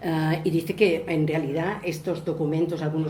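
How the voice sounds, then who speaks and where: A woman with a Spanish accent speaks at a moderate pace in a fairly low pitch. Audible room echo surrounds her voice. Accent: mainland Spanish. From Spain (mainland). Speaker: landscape planning specialist. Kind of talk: lecture. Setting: museum lecture with audience.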